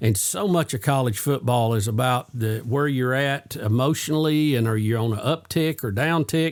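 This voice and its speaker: In a plain, everyday voice, a man with a fairly high pitch talks at a moderate pace with hardly any pauses. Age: 60s. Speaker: sports show host. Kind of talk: casual sports chat.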